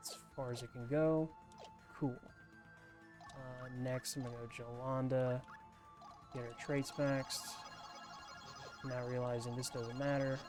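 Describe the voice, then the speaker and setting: Against music in the background, a man talks at a fairly slow pace and medium pitch, with fairly even intonation and long, frequent pauses. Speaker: ASMR gaming YouTuber. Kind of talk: soft-spoken gaming commentary. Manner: soft-spoken, relaxed.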